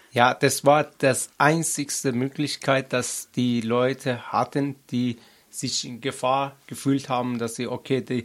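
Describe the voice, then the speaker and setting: A man speaks very slowly at a medium pitch, his intonation monotone and flat. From Afghanistan. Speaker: activist. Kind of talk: interview. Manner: halting, many fillers.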